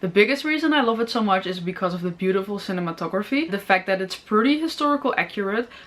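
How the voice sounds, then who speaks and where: Amid noticeable background noise, a woman with a Dutch accent speaks at a very fast pace, using lively intonation at a medium pitch. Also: hardly any pauses. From Netherlands. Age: 20s. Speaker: film review YouTuber. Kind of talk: informational talk to camera.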